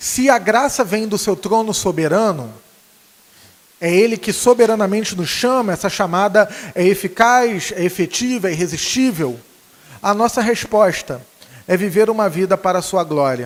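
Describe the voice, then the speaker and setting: Speaking with a Rio de Janeiro accent, a man uses a high pitch, lively intonation and a moderate pace. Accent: carioca accent noticeable. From Rio de Janeiro, Brazil. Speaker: preacher. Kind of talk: sermon. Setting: church. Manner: halting, many fillers.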